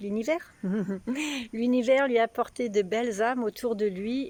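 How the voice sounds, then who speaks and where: A woman's fairly high pitch with ordinary variation, delivered at a fairly slow pace. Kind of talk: casual talk to camera.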